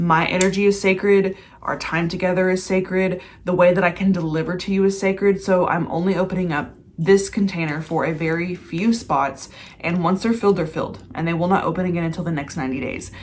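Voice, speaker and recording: A woman with a plain, everyday voice talks at a medium pitch and a fairly quick pace with fairly even intonation. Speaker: mindset and manifestation coach. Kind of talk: casual vlog with sales pitch.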